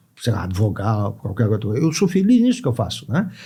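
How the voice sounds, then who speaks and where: The tone is dark and mellow, and somewhat breathy. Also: man. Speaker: judge and law professor. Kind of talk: podcast interview. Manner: conversational, frequent fillers.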